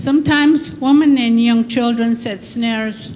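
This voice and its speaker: A woman's fairly high voice at a very slow pace with fairly even intonation, audible room echo and noticeable background noise. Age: 70s. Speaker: elder panelist. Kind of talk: reading prepared remarks. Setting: conference panel.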